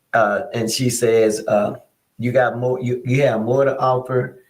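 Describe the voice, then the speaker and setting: Audible room echo around a man's medium-pitched voice, fairly slow in pace and fairly even in intonation. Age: 60s. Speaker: pastor. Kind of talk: casual chat.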